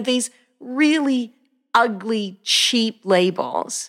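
A woman talks with an Australian accent and lively intonation. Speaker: pastor. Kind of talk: casual interview.

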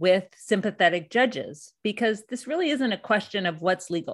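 Over a quiet background, a woman speaks at a fairly high pitch. Her pitch variation is ordinary. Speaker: documentary filmmaker and debt activist. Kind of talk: interview.

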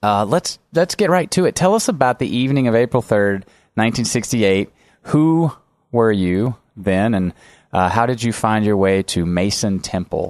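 An unremarkable speaking voice from a man of medium pitch, with lively intonation, a moderate pace, very even loudness and a quiet background. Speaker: podcast host. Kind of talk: interview with ad read. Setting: studio.

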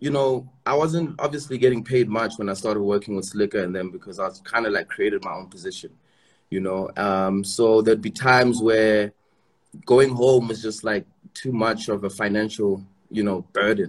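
The voice keeps a moderate pace and shows ordinary pitch variation. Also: man, medium pitch for a man. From South Africa, Eastern Cape. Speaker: rapper. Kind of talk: interview. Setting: video call.

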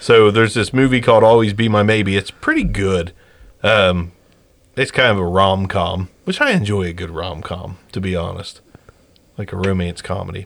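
Fairly even intonation and a fairly low pitch shape a man's a normal speaking voice as he moves at a moderate pace. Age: 30s. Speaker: podcast host. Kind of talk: casual chat. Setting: studio.

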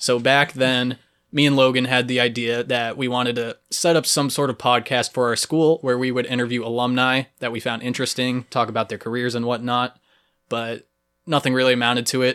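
On a very clean recording with a silent background, a man with an American accent and medium pitch speaks at a fairly quick pace in a bright, sharp tone. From Cape Cod and Texas. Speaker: podcast host. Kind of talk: casual chat. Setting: home studio in a basement. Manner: animated.

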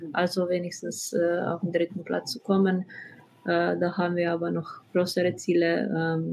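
In a Slovenian accent, a woman speaks with a fairly low pitch and fairly even intonation. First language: Slovenian (speaking German). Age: 20s. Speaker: professional footballer. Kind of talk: interview. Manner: halting.

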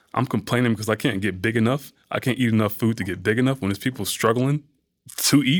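A man with an American accent and a normal speaking voice, at a fairly quick pace with ordinary pitch variation. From US South, Atlanta, Georgia. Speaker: bodybuilder and fitness model. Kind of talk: casual chat.

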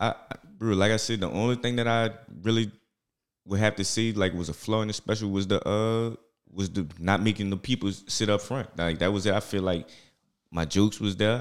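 Speaking with a New Orleans accent, a man talks at a fairly quick pace and fairly low pitch over a very clean recording with a silent background. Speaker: stand-up comedian.

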